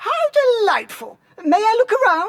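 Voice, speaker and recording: At a moderate tempo, a squeaky put-on character voice reaches extremely high pitch. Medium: video game. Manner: polite, deferential.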